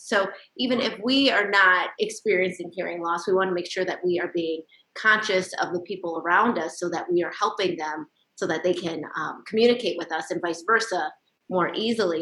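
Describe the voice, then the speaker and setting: A woman talks at a fairly quick pace in a normal speaking voice, with a medium pitch and ordinary pitch variation. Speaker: TV show host. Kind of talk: TV interview hosting.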